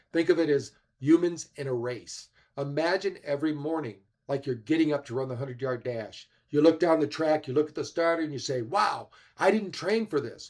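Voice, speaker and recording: A man with a fairly high pitch speaks at a fairly quick pace in an ordinary speaking voice, with ordinary pitch variation, on a very clean recording with a silent background. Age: 60s. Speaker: health expert speaker. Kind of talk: summit presentation. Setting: livestream.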